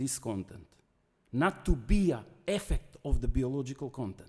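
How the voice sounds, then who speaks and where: A man with a non-native accent talks at a moderate pace in a dark, mellow tone. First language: not English. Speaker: guest lecturer. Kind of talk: academic lecture. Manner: halting.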